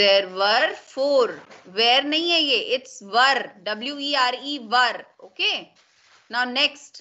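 A woman's high pitch and lively intonation at a fairly slow pace. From India. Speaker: school English teacher. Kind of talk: online class lesson. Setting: video call. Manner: code-switching Hindi and English. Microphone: video call.

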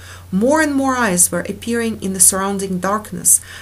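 The speaker uses a natural reading voice. It sounds like a natural reading voice throughout.

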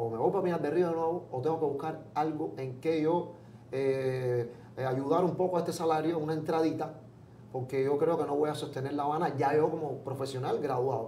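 A man with a fairly high pitch talks at a fairly quick pace and with fairly even intonation. There's audible room echo and light background noise. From Cuba, Pinar del Río. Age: 40s. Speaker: comedian. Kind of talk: interview. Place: studio.

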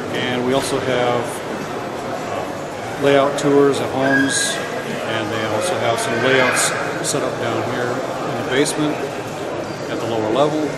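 A man talks fairly slowly while loud noise fills the background. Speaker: hobby vlogger. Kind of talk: casual vlog chat. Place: hall. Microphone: phone near.

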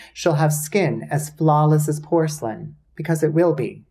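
A man's somewhat breathy voice at a moderate pace, against a quiet background. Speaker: video essay host. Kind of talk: comedic commentary recap. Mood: sarcastic, playful. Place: home room.

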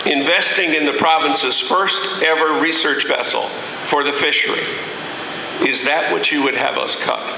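Over noticeable background noise and audible room echo, a man with a fairly high pitch speaks at a moderate pace in a flat monotone. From Newfoundland, Canada. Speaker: politician. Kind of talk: public speech. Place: hall. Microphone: podium.

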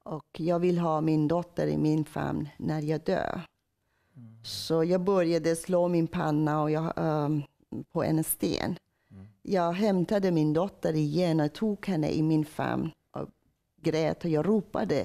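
A woman with a Persian accent and a very deep, low pitch, a dark, mellow tone and a very slow pace, against a quiet background. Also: ordinary pitch variation. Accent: Persian accent in Swedish. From Iran. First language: Persian (speaking Swedish). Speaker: church member telling conversion story; interviewee. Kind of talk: testimony. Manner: halting, with many hesitations. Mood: emotional personal testimony. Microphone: lapel.

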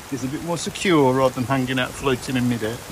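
At a moderate pace, a man with a medium voice and fairly bright tone speaks with little pitch movement over faint background noise.

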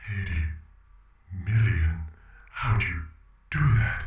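A man's put-on character voice, very deep and low in pitch, at a very slow pace with a slight echo. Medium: role play.

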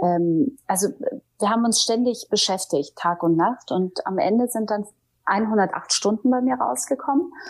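Her pitch swinging very widely, a woman speaks at a moderate pace in a fairly high voice. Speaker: TV presenter and audiobook narrator. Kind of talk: interview answer.

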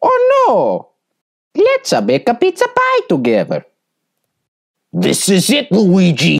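A female-sounding voice performs a put-on character voice. The pace is fairly slow. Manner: upbeat.

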